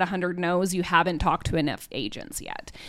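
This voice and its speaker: A woman speaks with a Canadian accent. The recording is very clean, with a silent background. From Cranbrook, British Columbia, Canada. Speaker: podcast host and author. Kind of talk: casual chat.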